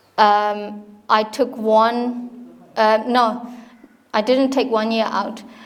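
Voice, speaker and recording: A woman speaks very slowly in a monotone with flat intonation and a fairly high pitch, leaving long, frequent pauses as room echo sounds around her. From Myanmar. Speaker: university dean. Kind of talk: informal talk to an audience. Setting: hall with live audience. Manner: halting, many fillers and restarts.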